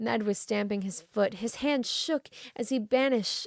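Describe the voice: The clip is plain reading aloud. Its pitch moves up and down in an ordinary way.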